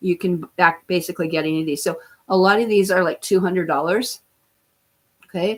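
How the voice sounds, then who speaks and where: Pausing long and often, a woman talks at a fairly quick pace in a medium pitch with fairly even intonation. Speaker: livestream host and natural health practitioner. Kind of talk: casual livestream talk.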